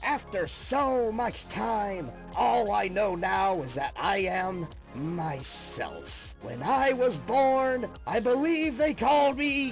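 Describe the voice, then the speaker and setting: Over clear music in the background, a put-on character voice speaks at a very slow pace with a fairly high pitch. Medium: dub. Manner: calm, chill.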